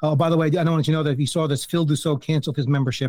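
A man with a New Jersey accent speaks in a fairly high pitch with a dark, mellow tone. His intonation is monotone and flat, with a dry, close sound with no echo. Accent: New Jersey American. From US, New Jersey. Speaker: fantasy baseball podcast host. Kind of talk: casual chat.

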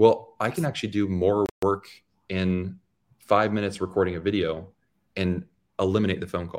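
On a very clean recording with a silent background, a man speaks at a moderate pace in a fairly low pitch, with fairly even intonation and long, frequent pauses. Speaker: YouTube educator, loan officer. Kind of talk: casual interview.

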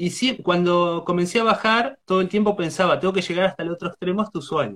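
With a Rioplatense accent, a man talks at a fairly quick pace, high in pitch with lively intonation. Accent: Argentine Spanish (rioplatense). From Argentina, rural Buenos Aires province. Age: 40s. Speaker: traveling poet. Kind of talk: interview.

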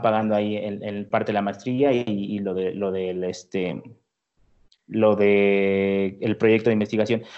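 This man has a normal speaking voice with a fairly low pitch. He talks at a moderate pace. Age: 20s. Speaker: engineering graduate student and music producer. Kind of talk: interview.

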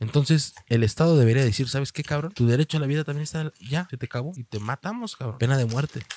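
Very fast speech in a Mexican accent, with ordinary pitch variation and a dry, close sound with no echo. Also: man. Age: 20s. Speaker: podcast co-host. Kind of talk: casual chat.

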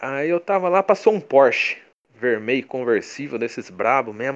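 Medium-pitched man at a moderate pace, in a São Paulo interior accent. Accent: caipira (São Paulo countryside). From interior of São Paulo state, Brazil (São Carlos). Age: 20s. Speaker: comic creator. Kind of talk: casual interview chat.

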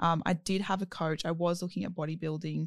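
In an Australian accent, a woman talks at a fairly quick pace with fairly low pitch. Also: very clean recording, silent background. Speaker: podcast host. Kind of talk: casual chat.

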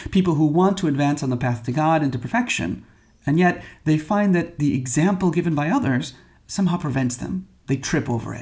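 Somewhat breathy man with an American accent, fairly high pitch, lively intonation and a fairly quick pace. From Michigan. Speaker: priest. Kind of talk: homily.

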